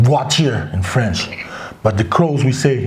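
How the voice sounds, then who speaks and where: A man speaks fairly slowly with very wide pitch swings. Room echo is audible. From Crow reservation, Montana, US. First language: Crow (Apsaalooke). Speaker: author. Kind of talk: interview. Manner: hesitant, many fillers.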